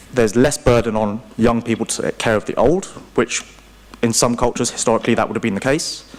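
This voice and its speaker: Over noticeable background noise, a man with a British accent talks at a very fast pace and a medium pitch. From UK. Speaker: investment strategist. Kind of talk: conference panel presentation.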